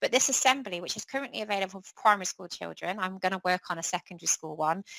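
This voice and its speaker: A woman's very fast speech with a bright, sharp tone, medium pitch, ordinary pitch variation, big swings in loudness, and a dry, close sound with no echo. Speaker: charity education lead, former primary teacher. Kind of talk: webinar presentation.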